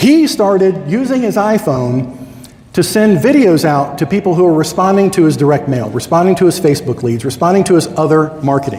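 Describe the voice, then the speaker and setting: A man's high-pitched, animated voice at a fairly quick pace, lively intonation, with audible room echo and noticeable background noise. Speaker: conference speaker, Medicare insurance agent. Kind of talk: conference talk. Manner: fast.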